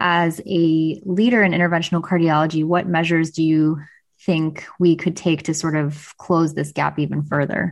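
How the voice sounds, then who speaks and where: Against a quiet background, a woman with a plain, everyday voice talks at a moderate pace and fairly low pitch, her intonation fairly even and her loudness very even. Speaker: senior cardiology fellow, co-host.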